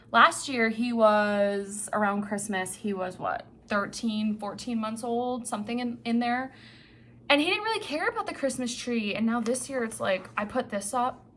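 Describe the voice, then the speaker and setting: With noticeable background noise behind her, a woman with an American accent talks at a fairly high pitch with ordinary pitch variation. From New England. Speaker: cross-stitch vlogger. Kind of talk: casual vlog chat. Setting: home office. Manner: fast.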